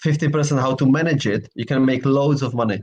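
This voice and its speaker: Fairly quick, somewhat breathy speech from a man pitched fairly high. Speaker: property sourcing agent. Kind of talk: casual chat. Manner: halting.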